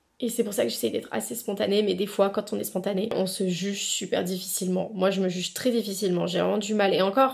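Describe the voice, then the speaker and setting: Delivered at a very fast pace with hardly any pauses, the voice has vocal fry and ordinary pitch variation. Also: woman, medium pitch for a woman. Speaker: lifestyle vlogger. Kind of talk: casual vlog talk to camera. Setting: at home. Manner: spontaneous with many hesitations.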